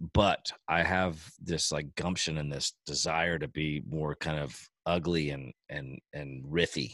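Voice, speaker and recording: In a dry, close sound with no echo, a man with a very deep, low pitch and vocal fry talks at a very slow pace, with hardly any pauses and fairly even intonation. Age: 40s. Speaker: podcast host and musician. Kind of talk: casual chat.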